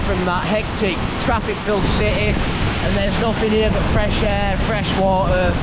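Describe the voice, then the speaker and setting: There is noticeable background noise and audible room echo. Over it, a woman talks at a moderate pace. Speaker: travel vlogger. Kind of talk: travel vlog narration. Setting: outdoors. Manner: loud.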